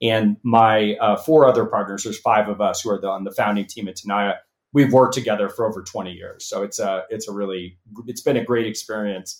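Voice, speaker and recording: A man with a Californian accent at a fairly quick pace, fairly even intonation and big swings in loudness. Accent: General American, Californian. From Los Angeles. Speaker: venture capitalist and company founder. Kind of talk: interview. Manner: halting, many fillers and repeats.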